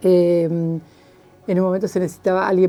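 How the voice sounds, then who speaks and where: Her tone dark and mellow, a woman speaks at a medium pitch. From Argentina, Chubut (Esquel, Patagonia). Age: 70s. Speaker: journalist. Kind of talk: interview, life story. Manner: hesitant, many fillers.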